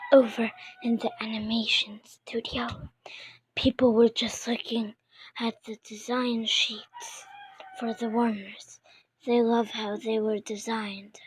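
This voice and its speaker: Speaking quietly and fairly slowly, the voice leaves long, frequent pauses. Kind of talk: read story.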